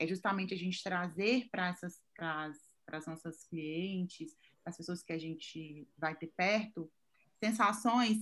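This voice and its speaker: Lively intonation carries a plain, everyday voice in a very clean recording with a silent background. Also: woman. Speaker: image consultant. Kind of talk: casual chat.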